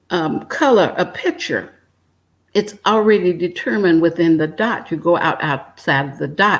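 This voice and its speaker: With an ordinary speaking voice, a woman talks at a moderate pace and medium pitch with ordinary pitch variation, in a very clean recording with a silent background. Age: 60s. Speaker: retired emergency nurse and energy healer. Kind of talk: spiritual conversation.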